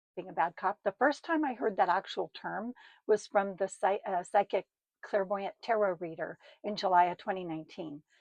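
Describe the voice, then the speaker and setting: In a dry, close sound with no echo, a woman with a medium pitch talks at a moderate pace in a normal speaking voice. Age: 60s. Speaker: storyteller recounting her own life. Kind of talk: personal storytelling monologue. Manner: casual, chatty with fillers.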